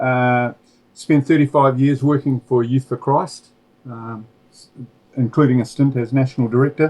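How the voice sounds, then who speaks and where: With a New Zealand accent, a man talks at a moderate pace and a medium pitch, his intonation monotone and flat but his loudness swinging widely. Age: 60s. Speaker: former preacher and author. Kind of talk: interview. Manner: halting, many fillers.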